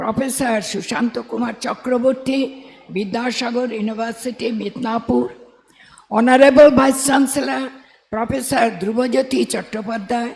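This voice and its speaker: Noise in the background stands out noticeably. The delivery moves at a moderate speed. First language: Bengali. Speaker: college principal. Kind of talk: formal convocation speech. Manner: quiet, can't speak loudly.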